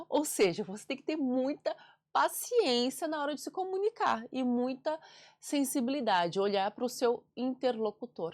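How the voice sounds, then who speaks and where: A woman at a fairly slow pace, high-pitched, with very wide pitch swings. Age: 40s. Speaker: communication and public speaking mentor, author. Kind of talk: interview conversation.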